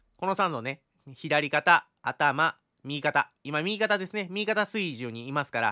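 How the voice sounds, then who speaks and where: A man talks with a bright, sharp tone and very wide pitch swings. The background is quiet. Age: 30s. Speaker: crypto chart analyst YouTuber. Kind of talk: market analysis tutorial. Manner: fast. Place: home room. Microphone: studio mic.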